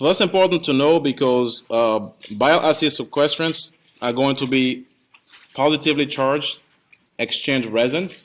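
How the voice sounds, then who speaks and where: This man has a non-native accent and a fairly high pitch with ordinary pitch variation. He talks at a moderate pace. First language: not English. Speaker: pharmacy professor. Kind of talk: lecture. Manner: hesitant, with repeated words.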